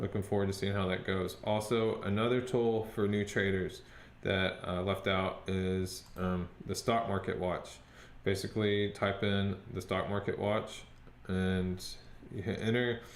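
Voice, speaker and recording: Amid audible room echo, a man with a fairly low pitch talks at a fairly slow pace in monotone, flat intonation. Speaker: stock trading youtuber. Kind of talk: screen-share tutorial and trading update. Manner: hesitant, many fillers.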